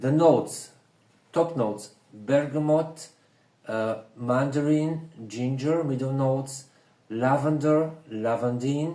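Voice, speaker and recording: With audible room echo, a man with a fairly high pitch speaks at a very slow pace, ordinary pitch variation and long, frequent pauses. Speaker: perfume reviewer. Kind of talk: casual review chat. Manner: whispering.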